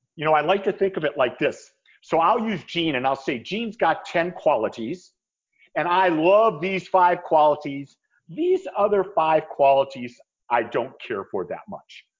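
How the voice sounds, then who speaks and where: At a moderate pace, a man with a high pitch speaks using lively intonation. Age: 60s. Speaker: spiritual minister. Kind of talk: interview podcast.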